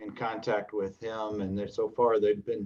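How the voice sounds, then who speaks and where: A man speaks in a normal speaking voice, fairly low in pitch, with fairly even intonation. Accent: American. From Los Angeles, US West Coast. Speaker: lawyer and show host. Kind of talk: livestream talk show.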